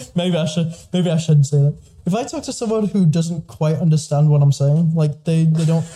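With an American accent, a man speaks at a fairly high pitch. His pitch variation is ordinary. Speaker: podcast host. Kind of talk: casual chat. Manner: fast.

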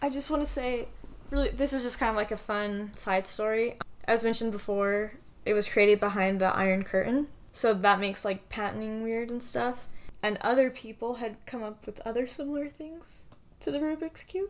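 Pitched fairly high, a woman speaks in an American accent with an ordinary speaking voice. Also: ordinary pitch variation, moderate pace. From US Southwest, Farmington, New Mexico. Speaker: podcast co-host. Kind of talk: casual chat; scripted report reading.

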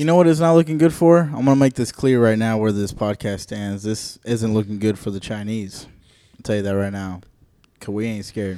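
Dark, mellow tone and lively intonation in a very clean recording with a silent background. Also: man, fairly low pitch for a man, fairly quick pace. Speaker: podcast host. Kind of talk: casual chat.

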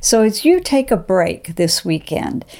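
A woman with a dark, mellow tone talks at a fairly slow pace. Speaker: devotional host. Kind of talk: devotional talk. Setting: video platform.

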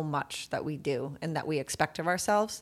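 Very clean recording with a silent background of a woman's fairly low-pitched voice. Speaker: podcast co-host. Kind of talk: casual chat. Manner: soft-spoken.

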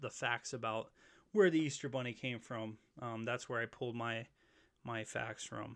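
In a very clean recording with a silent background, a man of medium pitch speaks at a moderate pace with an American accent. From Pennsylvania, northeastern/central. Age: 30s. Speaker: podcast host. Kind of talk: casual monologue. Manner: casual, filler-heavy.

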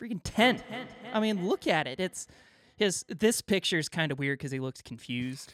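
Playful in tone, a man speaks at a moderate pace in a high pitch, with very wide pitch swings and big swings in loudness. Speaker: podcast host. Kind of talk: casual banter. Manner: joking, playful.

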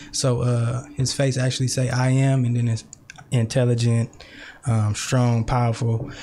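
An American accent marks this man's monotone, flat delivery at a very even loudness. Noticeable background noise sits behind him. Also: medium pitch for a man, moderate pace. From Richmond, California (Bay Area). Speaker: poet and youth worker. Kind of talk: casual interview.

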